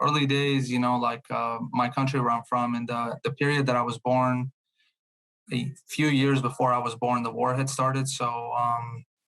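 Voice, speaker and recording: A man speaks with a Bosnian accent at a moderate pace. His medium-pitched voice stays monotone and flat. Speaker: truck sales consultant. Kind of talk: podcast interview answer.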